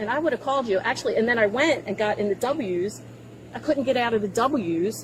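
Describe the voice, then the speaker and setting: Talking at a fairly quick pace with an American accent, a woman with a fairly high pitch sounds animated and lively in her intonation over noticeable background noise. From Baltimore, US. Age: 60s. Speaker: driver questioned by police. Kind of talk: police encounter.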